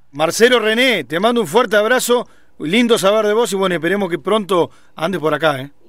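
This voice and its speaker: A man's voice sits high, his intonation lively, and he talks fairly quickly. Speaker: radio host. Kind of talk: interview.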